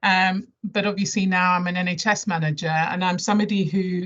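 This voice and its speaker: Monotone and flat, a woman with a southern English accent speaks fairly quickly at a medium pitch. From London area, England (born Nigeria, moved at 11). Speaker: health service chief executive. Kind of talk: presentation to staff. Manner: hesitant, many fillers.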